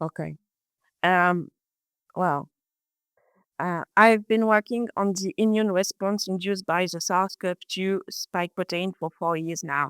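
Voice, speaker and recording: On a very clean recording with a silent background, a woman with a French accent and medium pitch speaks with fairly even intonation and long, frequent pauses. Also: fairly slow pace. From France. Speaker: research biologist. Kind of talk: interview. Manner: halting, many hesitations.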